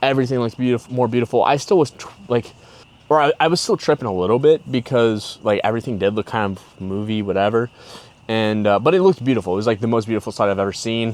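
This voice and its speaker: Talking at a very fast pace, a man keeps a medium pitch with ordinary pitch variation. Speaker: podcaster telling personal stories. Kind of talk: casual storytelling monologue. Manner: animated.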